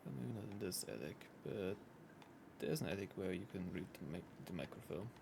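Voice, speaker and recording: A man with a German accent speaks at a fairly quick pace in a very deep, low pitch with vocal fry. His intonation is lively, broken by long, frequent pauses. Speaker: video game streamer. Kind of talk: live gameplay commentary. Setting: live stream.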